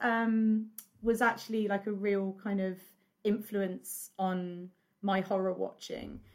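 A woman with an English accent at a fairly slow pace, in a very clean recording with a silent background. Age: 40s. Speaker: horror podcaster and writer. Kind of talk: casual chat. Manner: animated.

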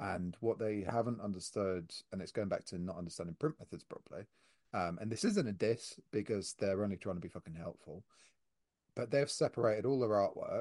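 A man with a fairly low pitch talks at a moderate pace in an ordinary speaking voice with ordinary pitch variation, the sound dry and close with no echo over a quiet background. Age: 30s. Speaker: podcast host, print shop owner. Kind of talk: casual chat.

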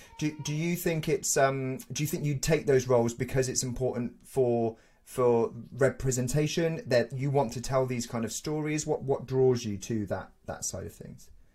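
A man speaks at a moderate pace in a medium pitch, his somewhat breathy voice carrying a dark, mellow tone and ordinary pitch variation. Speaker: podcast host. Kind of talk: casual interview chat.

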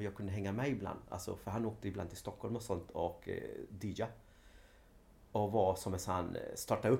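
Somewhat breathy, a man with a fairly low pitch and a dark, mellow tone speaks with fairly even intonation. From Sweden, Linköping (arrived from Chile at age 5). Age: 40s. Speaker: dance teacher, former professional dancer. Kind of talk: interview. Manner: halting.

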